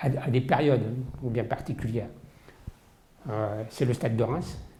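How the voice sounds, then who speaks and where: Noticeable background noise is present. Through it, a man talks at a medium pitch. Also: fairly slow pace. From Paris region, France. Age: 60s. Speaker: football collector. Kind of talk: interview testimony. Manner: hesitant, many fillers.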